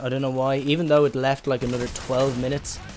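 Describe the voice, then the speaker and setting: Speaking at a very fast pace, a man with an Irish accent has a fairly high pitch. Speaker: gaming YouTuber. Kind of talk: gameplay commentary. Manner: hesitant, many fillers; casual.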